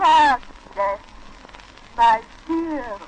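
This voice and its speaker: A woman talks at a very slow pace in a high pitch, with noticeable background noise behind her. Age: 70s. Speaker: nurse. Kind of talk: historic wax cylinder recording, formal spoken message.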